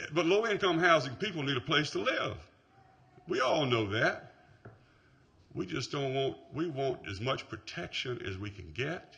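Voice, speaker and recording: A man speaks at a fairly slow pace in a fairly high voice, with long, frequent pauses, very wide pitch swings and big shifts in loudness, over noticeable background noise. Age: 60s. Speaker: resident speaking at hearing. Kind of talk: public hearing comment. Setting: city planning meeting.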